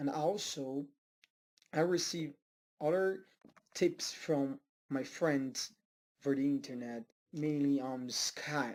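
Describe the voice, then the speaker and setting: Spoken at a very slow pace with long, frequent pauses, the voice carries a Portuguese accent on a very clean recording with a silent background. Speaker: self-taught language learner. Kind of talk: personal vlog. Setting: home study room. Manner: halting, with many fillers.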